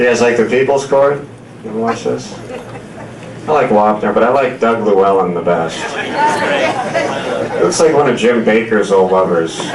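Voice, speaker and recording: A man in an American accent at a medium pitch and a moderate pace, with audible room echo and noticeable background noise. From Seattle suburb, US Pacific Northwest. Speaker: comedian. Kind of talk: stand-up. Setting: stage with audience.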